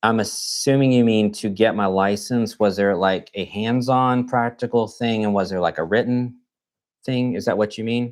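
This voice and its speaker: This man has a Texan accent and a medium pitch. He speaks at a moderate pace with fairly even intonation. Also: very clean recording, silent background. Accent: Texan American English. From Texas, Fort Worth. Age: 40s. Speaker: nurse. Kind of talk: live stream Q&A chat. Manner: casual, conversational with fillers.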